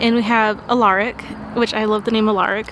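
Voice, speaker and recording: Noticeable background noise beneath a woman's fairly high-pitched voice. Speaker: book vlogger. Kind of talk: casual vlog chat. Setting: Airbnb room.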